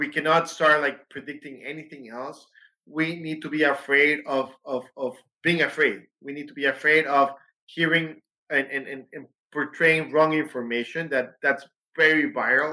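At a moderate pace, a man with a fairly high pitch and a bright, sharp tone speaks in a monotone, flat intonation with big swings in loudness. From Mexico. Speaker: pediatrician. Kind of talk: interview. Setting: studio.

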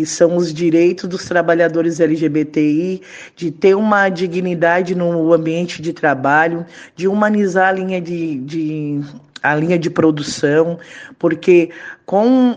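A woman talks at a very slow pace in a fairly low pitch. Her intonation stays fairly even. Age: 30s. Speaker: trade unionist. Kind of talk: interview.

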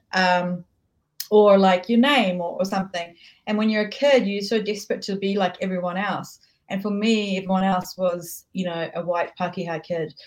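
At a moderate pace, a woman with a New Zealand accent speaks at a medium pitch with fairly even intonation. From New Zealand, raised from childhood after leaving Tehran. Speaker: author and filmmaker. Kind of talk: casual interview chat.

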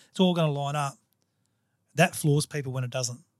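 This man speaks very fast in an Australian accent, with a fairly high pitch and fairly even intonation. His voice is somewhat breathy, and the sound is dry and close with no echo. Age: 50s. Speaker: podcast host. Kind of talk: casual interview chat. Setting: studio.

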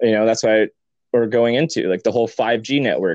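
Over a quiet background, a man with an unremarkable speaking voice talks at a fairly quick pace. His pitch is medium, and the sound is dry and close with no echo. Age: 20s. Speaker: writer. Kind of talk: casual conversation.

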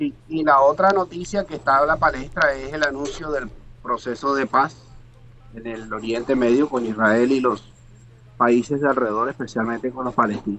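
A man talks at a moderate pace in an ordinary speaking voice. His pitch is medium. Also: ordinary pitch variation. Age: 50s. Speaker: international contributor. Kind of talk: casual chat.

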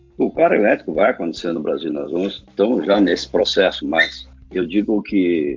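Man at a moderate pace, with noticeable background noise. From southern Brazil, Rio Grande do Sul (Lajeado). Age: 60s. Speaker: company co-founder and engineer. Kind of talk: interview.

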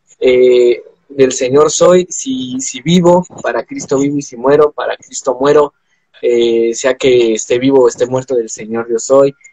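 A man's medium-pitched voice, dark and mellow in tone, fairly slow and fairly even in intonation, with a dry, close sound and no echo. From Mexico. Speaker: podcast host. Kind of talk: casual chat. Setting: live video stream.

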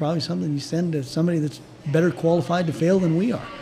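A man talking very fast at a fairly high pitch amid noticeable background noise. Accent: American. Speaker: orthopedic surgeon. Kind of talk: interview conversation.

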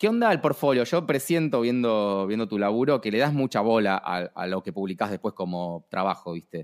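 A man speaks with an Argentine accent at a fairly low pitch and a moderate pace. His intonation is lively, and the sound is dry and close with no echo. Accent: Rioplatense Argentine Spanish. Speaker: podcast host. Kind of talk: casual interview chat. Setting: remote call.

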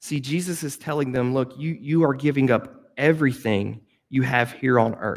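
Delivered in a plain, everyday voice, the speech moves at a moderate pace. Its intonation stays fairly even. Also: man, medium pitch for a man. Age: 30s. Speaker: youth pastor. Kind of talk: sermon.

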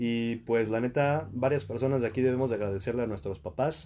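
A dark, mellow tone with a Mexican accent at a fairly quick pace, on a very clean recording with a silent background. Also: man. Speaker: podcast host. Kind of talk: casual chat.

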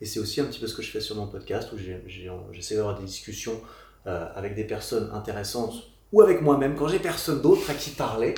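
With audible room echo, a somewhat breathy voice moves at a fairly quick pace through very wide pitch swings and big swings in loudness. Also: man. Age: 30s. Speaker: fitness YouTuber and podcaster. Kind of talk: casual chat. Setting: studio, sitting on a couch in Paris.

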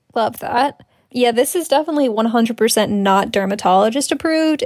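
This woman has a plain, everyday voice with a fairly high pitch. Her pace is moderate. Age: 20s. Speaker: podcast co-host. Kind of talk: casual chat.

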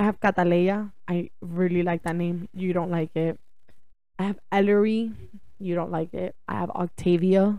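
Her voice dark and mellow and fairly low, a woman speaks at a fairly slow pace with fairly even intonation. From Cuban-born, raised in the US from age four. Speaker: podcast co-host. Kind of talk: casual chat.

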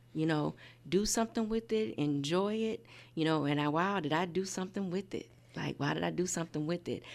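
A plain, everyday voice from a woman with an American accent, fairly low-pitched and fairly quick, with lively intonation and a quiet background. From Indiana. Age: 50s. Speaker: nonprofit founder. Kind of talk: casual chat.

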